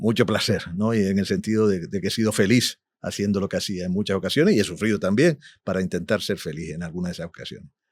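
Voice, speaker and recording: A man at a very fast pace and fairly low pitch, in a very clean recording with a silent background. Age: 60s. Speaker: musician and producer. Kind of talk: interview. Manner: animated.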